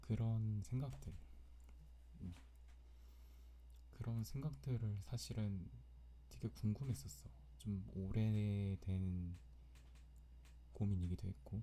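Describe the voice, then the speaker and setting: Very deep and low, a man's voice moves through very wide pitch swings at a very slow pace, with long, frequent pauses. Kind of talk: personal diary-style ASMR recording.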